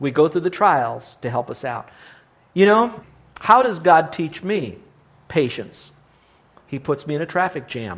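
A man with vocal fry speaks at a fairly high pitch and a fairly slow pace, his voice making very wide pitch swings between long, frequent pauses. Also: big swings in loudness. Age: 60s. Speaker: Bible teacher and preacher. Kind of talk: sermon. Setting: live audience.

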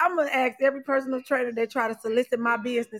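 Raised and projected, a woman's high-pitched voice races at a very fast pace with an animated, bright, sharp tone. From Atlanta area, Georgia (Decatur). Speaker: podcast host. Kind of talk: casual chat. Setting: livestream.

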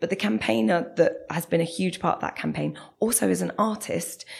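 In a South London accent, a woman talks at a fairly quick pace. Her voice sits fairly low and carries vocal fry. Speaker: bus campaigner. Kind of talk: interview.

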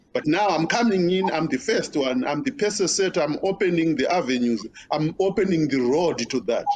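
Over noticeable background noise, a man speaks with an African accent at a high pitch. His pitch swings very widely while his loudness stays very even. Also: moderate pace. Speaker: pastor. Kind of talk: interview conversation.

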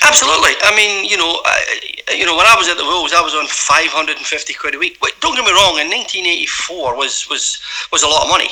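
A man with a Glaswegian accent, very fast and with hardly any pauses, over noticeable background noise. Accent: Glaswegian Scottish. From Scotland, Glasgow East End. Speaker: former footballer. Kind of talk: interview.

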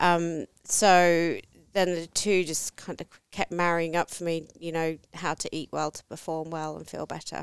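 A woman's fairly low, monotone voice with flat intonation and big swings in loudness, in a dry, close sound with no echo. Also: fairly slow pace, very clean recording, silent background. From England. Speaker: nutritionist. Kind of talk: casual chat.

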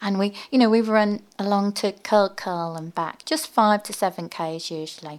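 In a very clean recording with a silent background, a woman with an English accent speaks at a medium pitch. Her pace is fairly slow with hardly any pauses, and her loudness shows big swings. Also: ordinary pitch variation. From English Midlands, near Birmingham. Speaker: ocean swimmer and underwater photographer. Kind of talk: interview. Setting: studio.

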